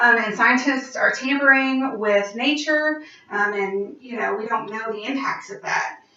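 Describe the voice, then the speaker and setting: A woman speaks at a high pitch and fairly slow pace, with ordinary pitch variation and big swings in loudness, over noticeable background noise. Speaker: college student. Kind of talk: class opinion speech.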